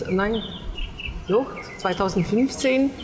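A woman speaks with a fairly high pitch. Noticeable background noise runs underneath. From Switzerland. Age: 50s. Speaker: hotel owner, emigrant. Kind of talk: interview. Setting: on location at her hotel. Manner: halting.

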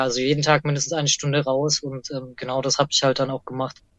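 A woman with a very deep, low pitch speaks fairly quickly in a monotone, flat intonation. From Franconia, Bavaria (Erlangen). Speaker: detransitioner sharing her story. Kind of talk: interview testimony. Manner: casual, many fillers.

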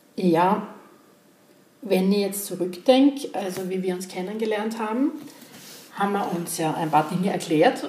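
Noticeable background noise and audible room echo around a moderate pace and lively intonation. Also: woman. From Austria, Graz (Styria). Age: 50s. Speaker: podcast host, construction professional. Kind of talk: casual chat.

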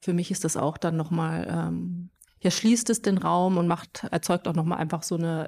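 Here a woman has an unremarkable speaking voice. Her pitch is fairly low, with fairly even intonation. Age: young. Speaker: visual artist. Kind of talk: interview.

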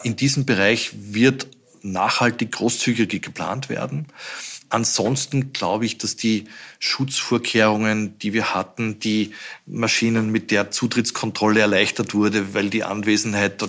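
Speaking at a moderate pace in a normal speaking voice, a man keeps a fairly low pitch and fairly even intonation. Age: 60s. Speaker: company CEO. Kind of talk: interview.

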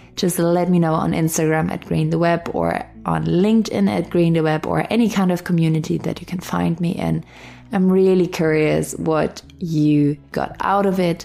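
Noticeable background noise fills the clip. A woman speaks at a moderate pace. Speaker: podcast host and meditation guide. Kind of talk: guided meditation. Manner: soft-spoken, gentle.

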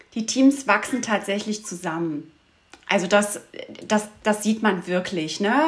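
At a very slow pace, a woman speaks with long, frequent pauses and ordinary pitch variation. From Saxony, Dresden region. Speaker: dog trainer and outdoor guide. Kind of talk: interview.

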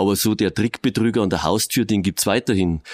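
A man with a normal speaking voice, fairly low in pitch, at a moderate pace with fairly even intonation, in a dry, close sound with no echo on a very clean recording with a silent background. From Regensburg, Bavaria. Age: 50s. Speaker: police officer. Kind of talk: interview.

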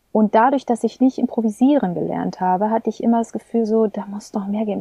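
Calm, dark and mellow, a woman speaks in a flat monotone. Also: dry, close sound with no echo. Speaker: singer and voice teacher. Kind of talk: interview conversation. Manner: calm, pleasant manner.

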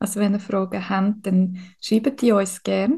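Somewhat breathy and medium in pitch, a woman with a Swiss accent speaks at a fairly slow pace in a dark, mellow tone. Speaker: podcast co-host, spiritual medium. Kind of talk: interview. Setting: hospital room.

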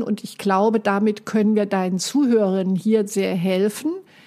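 At a fairly slow pace, a woman speaks in a fairly high pitch with fairly even intonation. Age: 60s. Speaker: life coach. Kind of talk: casual chat.

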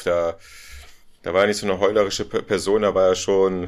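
A man with an ordinary speaking voice talks at a fairly quick pace and fairly low pitch on a very clean recording with a silent background. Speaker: podcast co-host, film fan. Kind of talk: casual chat. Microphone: poor audio, levels in the red.

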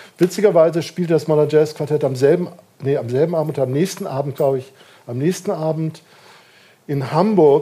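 A man with a fairly high pitch speaks in a normal speaking voice at a moderate pace, with ordinary pitch variation. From northern Germany, Kiel. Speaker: jazz musicologist, institute director. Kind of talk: interview before live audience. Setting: bar with live audience.

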